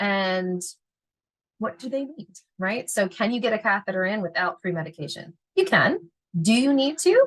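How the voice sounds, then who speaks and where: A woman's somewhat breathy, fairly high voice sounds animated, with lively intonation and long, frequent pauses. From Philadelphia, US. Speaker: veterinary technician educator. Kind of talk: lecture. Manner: fast.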